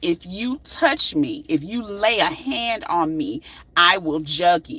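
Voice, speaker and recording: A put-on character voice growls at a fairly slow pace. Its pitch makes very wide swings. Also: female-sounding voice, medium pitch for a woman. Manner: low and threatening.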